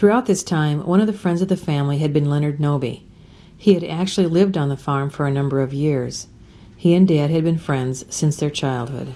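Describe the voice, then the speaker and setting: Very deep, low pitch from a woman with an American accent, a dark, mellow tone, ordinary pitch variation and a fairly quick pace. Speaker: family documentary narrator. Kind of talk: scripted narration.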